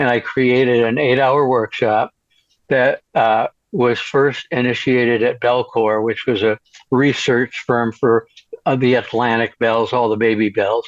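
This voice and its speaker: With an American accent, a man talks at a fairly slow pace in a medium pitch, his loudness very even and his intonation monotone and flat. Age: 70s. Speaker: LGBT educator and author. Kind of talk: interview. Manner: halting, many fillers and restarts.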